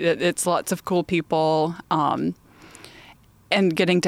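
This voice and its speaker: In a very clean recording with a silent background and a dry, close sound with no echo, a woman with vocal fry talks at a moderate pace and a fairly low pitch. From Alabama, small town north of Birmingham. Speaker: extension specialist podcast host. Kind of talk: casual chat.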